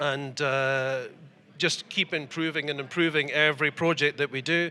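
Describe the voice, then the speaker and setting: A man's fairly high voice with an Edinburgh accent, bright and sharp in tone, fairly slow and monotone with flat intonation. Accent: Scottish (Edinburgh). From Scotland, Edinburgh. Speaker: model maker and importer. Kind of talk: interview. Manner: hesitant, many fillers.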